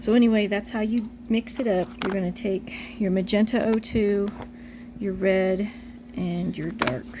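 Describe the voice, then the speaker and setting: Against noticeable background noise, a woman speaks fairly slowly at a medium pitch, her intonation fairly even. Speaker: reborn doll artist tutorial maker. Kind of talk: tutorial. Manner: casual, chatty with fillers.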